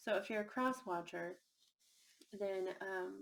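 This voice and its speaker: A woman speaks at a medium pitch. She is soft-spoken. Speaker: tarot reader. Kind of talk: tarot reading.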